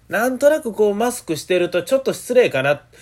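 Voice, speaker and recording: A man with a Kansai accent, at a fairly quick pace. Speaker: rakugo performer hosting a solo radio talk show. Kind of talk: solo podcast monologue. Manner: animated; fast near the end.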